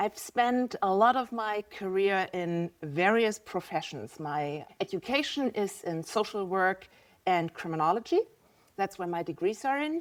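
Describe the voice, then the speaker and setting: On a very clean recording with a silent background, a woman with a German accent speaks fairly slowly with lively intonation. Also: medium pitch for a woman. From Germany. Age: 50s. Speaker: visual artist. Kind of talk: podcast interview.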